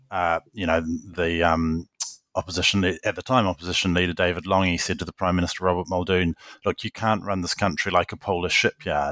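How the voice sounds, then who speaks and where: A man's very deep, low voice in a New Zealand accent, bright and sharp in tone, flat and monotone, at a fairly quick pace, dry and close with no echo on a very clean, silent recording. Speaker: journalist and author. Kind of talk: interview.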